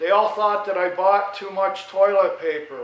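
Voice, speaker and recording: Speech at a moderate pace comes through with audible room echo and noticeable background noise. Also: man. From New York. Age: 70s. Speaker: vlogger, retired veteran homeowner. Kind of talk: casual monologue. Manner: loud.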